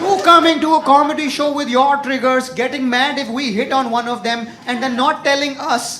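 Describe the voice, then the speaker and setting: The speech moves at a moderate pace with fairly even intonation, and there is noticeable background noise. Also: man. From India. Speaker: stand-up comedian. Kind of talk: stand-up comedy set.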